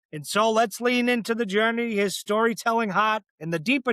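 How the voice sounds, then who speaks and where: A man's raised, projected voice with a Boston accent, bright and sharp in tone, with ordinary pitch variation, in a very clean, dry, close recording with no echo and a silent background. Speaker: podcast host. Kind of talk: interview conversation; scripted introduction.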